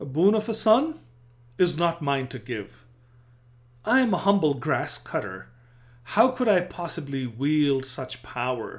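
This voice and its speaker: Dramatic in tone, a man speaks at a fairly slow pace with a fairly high pitch and very wide pitch swings. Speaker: narrator. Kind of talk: scripted narration of historical storytelling; dramatic narration, storytelling. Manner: dramatic, vivid, building tension; measured, formal.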